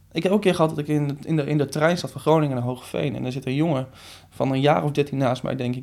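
A man talks very fast in a fairly high pitch with vocal fry, recorded very cleanly against a silent background. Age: 20s. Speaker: social media coach and trainer. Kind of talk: interview conversation.

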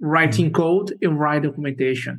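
A man with a Portuguese accent and lively intonation. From Brazil. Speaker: software engineer. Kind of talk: interview. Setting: video call.

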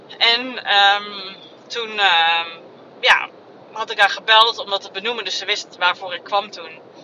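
A woman with a medium pitch speaks at a fairly slow pace with fairly even intonation, big swings in loudness, and long, frequent pauses. Background noise is noticeable. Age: 30s. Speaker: podcaster. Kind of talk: personal monologue. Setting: in a car. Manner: halting. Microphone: phone mic.

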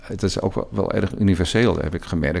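A man speaks at a very deep, low pitch with vocal fry. His pitch variation is ordinary. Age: 60s. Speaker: interim school leader. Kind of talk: interview conversation.

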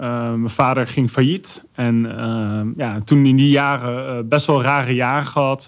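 At a very slow pace, a man with a medium pitch talks with fairly even intonation and hardly any pauses. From Netherlands, Arnhem. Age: 30s. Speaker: YouTuber and influencer. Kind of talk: podcast interview.

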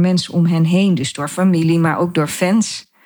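Here is a woman with a fairly low pitch and an unremarkable speaking voice. She keeps a moderate pace and fairly even intonation. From Netherlands, Gelderland (Dieren). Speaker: podcast host, photographer and designer. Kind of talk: personal monologue.

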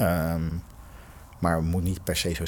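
A man's very deep, low-pitched voice. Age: 40s. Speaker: executive in health technology. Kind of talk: podcast interview. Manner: halting, many fillers.

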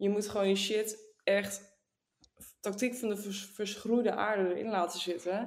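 A woman at a fairly slow pace, medium pitch, monotone, flat intonation. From northern Netherlands. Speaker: podcast co-host. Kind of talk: casual chat.

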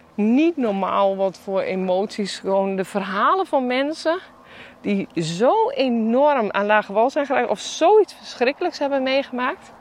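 A woman speaks at a very slow pace with very wide pitch swings. Noticeable background noise runs underneath. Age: 40s. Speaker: podcast host and shop owner. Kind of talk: solo podcast monologue. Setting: outdoors, walking in the mountains. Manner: animated.

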